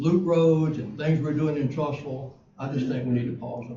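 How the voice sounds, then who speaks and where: A man with ordinary pitch variation amid audible room echo. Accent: Alabama. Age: 70s. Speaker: city council member. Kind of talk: council meeting debate.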